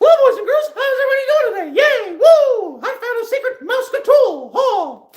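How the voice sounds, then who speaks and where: This is a put-on character voice from a man. His pitch is extremely high. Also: moderate pace, hardly any pauses. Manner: cheerful, bubbly.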